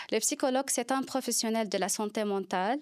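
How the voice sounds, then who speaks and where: With a Lebanese accent, a woman talks at a fairly high pitch with ordinary pitch variation. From Lebanon. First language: Arabic (speaking French). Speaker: psychologist. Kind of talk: interview. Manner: halting.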